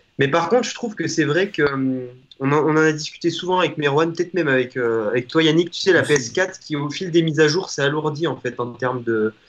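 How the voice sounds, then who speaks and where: A man speaks quickly with a plain, everyday voice at a fairly high pitch. His pitch varies in an ordinary way. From Auvergne, France. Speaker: guest gamer. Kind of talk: casual chat. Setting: video call.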